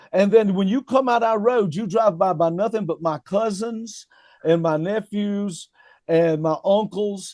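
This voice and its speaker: This man speaks with a Southern US accent at a high pitch and fairly slow pace, with ordinary pitch variation. The recording is dry and close with no echo. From US South. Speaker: rock guitarist. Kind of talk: casual chat. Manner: animated.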